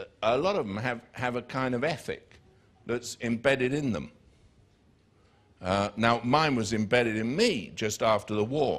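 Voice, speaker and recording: In a southern English accent, a man speaks at a medium pitch and a moderate pace, with ordinary pitch variation and long, frequent pauses. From southern England, near Biggin Hill. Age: 60s. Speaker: preacher. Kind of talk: sermon. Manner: animated.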